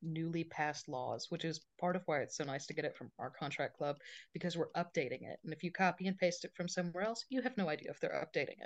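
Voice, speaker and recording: Against a quiet background, a woman speaks in a fairly low pitch. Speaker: associate attorney. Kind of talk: casual interview.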